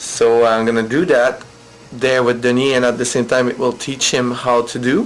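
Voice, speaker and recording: A man with a French accent speaks with fairly even intonation over noticeable background noise. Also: medium pitch for a man, moderate pace. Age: 30s. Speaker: vlogger, English teacher. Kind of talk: video diary. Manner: hesitant, many fillers.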